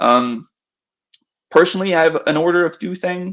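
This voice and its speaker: The speaker is a man with a non-native accent. He talks at a moderate pace. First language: not English. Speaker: game developer giving a workshop. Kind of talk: online workshop presentation. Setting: virtual event. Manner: halting, many fillers.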